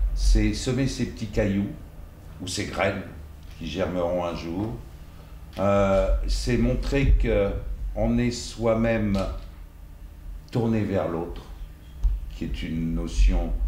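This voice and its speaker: Someone talks at a very slow pace with long, frequent pauses and very wide pitch swings over noticeable background noise. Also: man, very deep, low pitch for a man. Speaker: actor and dubbing voice actor. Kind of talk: master class talk to an audience. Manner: hesitant, conversational.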